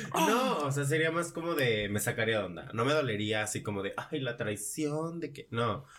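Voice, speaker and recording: A man's medium-pitched voice in a Mexican accent, lively intonation, a moderate pace and noticeable background noise. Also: hardly any pauses. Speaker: social media influencer. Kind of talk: casual chat.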